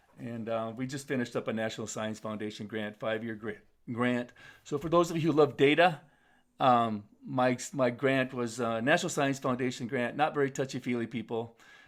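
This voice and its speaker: A man with an American accent talks at a fairly quick pace. The recording is very clean with a silent background. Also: medium pitch for a man, ordinary pitch variation. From US Upper Midwest, North Dakota and Minnesota. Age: 60s. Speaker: keynote speaker, youth development advocate. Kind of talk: keynote talk. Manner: halting, many fillers and restarts.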